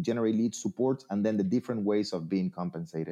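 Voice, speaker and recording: A man speaks with a Spanish accent at a medium pitch, his dark, mellow tone carrying lively intonation against a quiet background. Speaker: real estate trainer and speaker. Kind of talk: interview, conversational. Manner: friendly, conversational, some hesitation with fillers.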